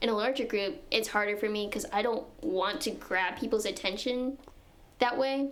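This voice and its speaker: Fairly high-pitched woman at a moderate pace, ordinary pitch variation and audible room echo. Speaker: physics student and society officer. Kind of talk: casual chat. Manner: soft-spoken.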